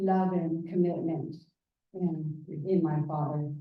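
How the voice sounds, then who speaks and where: A woman speaks at a very slow pace in a flat, monotone delivery, with audible echo in the room. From Southeast Alaska. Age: 70s. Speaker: Tlingit family member giving a presentation. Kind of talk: public presentation, personal family history. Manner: halting, with fillers.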